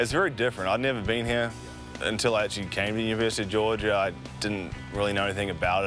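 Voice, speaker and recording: Music plays in the background as a man with an American accent speaks with ordinary pitch variation. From Auckland, New Zealand. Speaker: college golfer. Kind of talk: interview answer.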